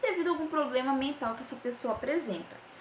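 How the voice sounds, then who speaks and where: A woman talks at a fairly quick pace with ordinary pitch variation. Noticeable background noise and audible room echo are present. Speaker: nursing professor. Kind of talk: lecture. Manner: fast.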